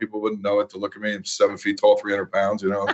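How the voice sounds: A man talks at a fast pace in a fairly low voice with a monotone, flat intonation.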